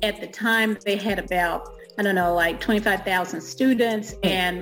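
At a very slow pace, a woman speaks with a medium pitch and fairly even intonation as music plays behind her. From Alabama, US South. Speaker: author and self-publishing coach. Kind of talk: interview podcast.

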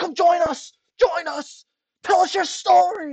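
The speaker uses a put-on character voice at an extremely high pitch and a fairly slow pace. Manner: mocking, eager and overly enthusiastic.

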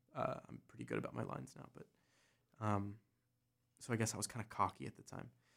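A man with an American accent and vocal fry, very fast pace, long, frequent pauses, lively intonation and big swings in loudness. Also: fairly low pitch for a man. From US, south-central Pennsylvania (Gettysburg area). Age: 20s. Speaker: actor, comedian and musician. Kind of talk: casual chat.

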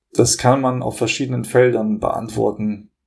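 A man's medium-pitched voice with vocal fry, ordinary pitch variation and a fairly slow pace. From Hamburg, northern Germany (born in Kosovo). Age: 30s. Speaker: law student. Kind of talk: podcast interview.

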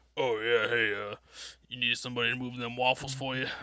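This is a put-on character voice at a fairly quick pace. The intonation stays flat and monotone. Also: man, medium pitch for a man.

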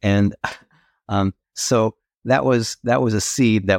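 Fairly slow speech with fairly even intonation comes through a very clean recording with a silent background and a dry, close sound with no echo. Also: man. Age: 60s. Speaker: novelist. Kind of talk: interview. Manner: halting.

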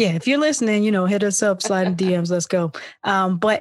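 A woman with an American accent speaks at a medium pitch and moderate pace. She has an unremarkable speaking voice against a quiet background. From Philadelphia. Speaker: podcast host. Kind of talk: casual chat.

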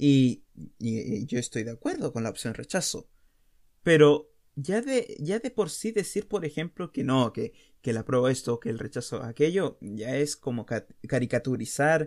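A man with a Chilean accent talks at a fairly slow pace in a fairly high pitch, his pitch swinging very widely. The recording is very clean with a silent background. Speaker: podcast host. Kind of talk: casual monologue.

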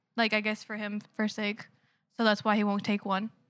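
A woman's voice sits fairly high and has a bright, sharp tone. The recording is very clean, with a silent background. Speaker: coworker of a host. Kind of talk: casual chat.

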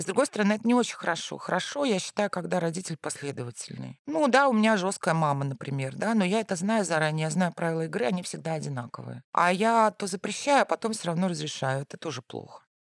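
Very fast and with hardly any pauses, a woman speaks at a fairly low pitch. Her pitch swings very widely, and the sound is dry and close with no echo. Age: 40s. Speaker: journalist and university lecturer, mother of three. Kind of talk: casual chat.

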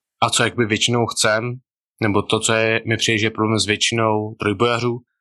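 Against a quiet background, a man with fairly low pitch speaks at a moderate pace in a bright, sharp tone with monotone, flat intonation. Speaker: powerlifter podcast co-host. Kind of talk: casual chat. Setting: video call.

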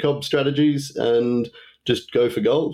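In a dark, mellow tone, a man talks with an Australian accent. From Tasmania, Australia. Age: 30s. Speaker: trading apprentice. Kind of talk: casual interview.

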